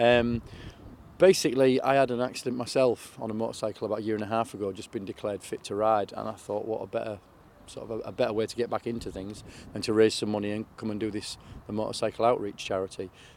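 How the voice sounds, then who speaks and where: Very fast and fairly even in intonation, a man talks at medium pitch. He speaks with a Yorkshire accent. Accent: Yorkshire (Hull). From northern England, Hull area. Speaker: charity motorcycle rider. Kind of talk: interview. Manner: halting, many fillers.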